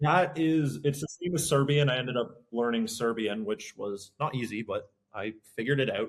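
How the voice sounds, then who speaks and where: A man's fairly high-pitched voice, a normal speaking voice, with a Canadian accent. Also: lively intonation, moderate pace. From Canada. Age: 20s. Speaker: podcast host. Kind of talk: casual chat.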